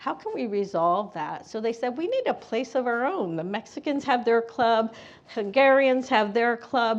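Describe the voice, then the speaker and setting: A woman's fairly high-pitched, unremarkable speaking voice at a moderate pace. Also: lively intonation. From Bethlehem, Pennsylvania. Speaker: panelist, educator. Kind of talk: panel discussion.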